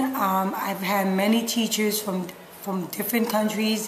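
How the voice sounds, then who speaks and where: A woman with a New York accent speaks at a fairly slow pace. Audible room echo and noticeable background noise surround her voice. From New York City, Puerto Rican parents. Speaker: middle school science teacher. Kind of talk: interview.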